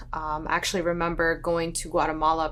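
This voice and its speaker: In an American accent, a woman talks at a very fast pace with a fairly low pitch. Her intonation is monotone and flat. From northern Virginia, US. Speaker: woman giving a personal testimony. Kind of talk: testimony. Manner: casual, many fillers.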